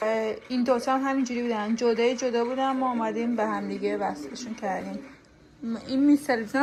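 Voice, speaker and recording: Talking very fast, a woman with a high pitch uses ordinary pitch variation over noticeable background noise. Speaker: vlogger. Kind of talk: casual vlog chat.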